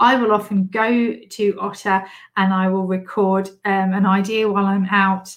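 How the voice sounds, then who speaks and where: Her pitch is in the medium range. The woman talks with a British accent. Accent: British English, noticeable. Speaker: podcast host and business coach. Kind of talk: solo podcast monologue, tips episode. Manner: animated, upbeat, laughs often.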